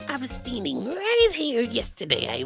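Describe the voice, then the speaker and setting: A put-on character voice speaks at a moderate pace while music plays clearly in the background. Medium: game stream. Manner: bossy, officious.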